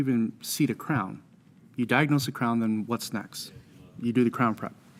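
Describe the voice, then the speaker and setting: With an ordinary speaking voice, a man talks at a moderate pace and medium pitch. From American Samoa. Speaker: dental insurance consultant and speaker. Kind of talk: interview. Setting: live at a conference event. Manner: filler-heavy, repeats words.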